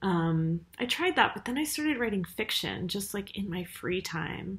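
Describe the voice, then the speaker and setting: A woman speaks at a fairly slow pace. Her voice is somewhat breathy. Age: 30s. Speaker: writer and university teacher; university teacher. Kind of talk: casual vlog monologue. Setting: university office. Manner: hesitant, many fillers. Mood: reflective, personal. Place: home room. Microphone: webcam.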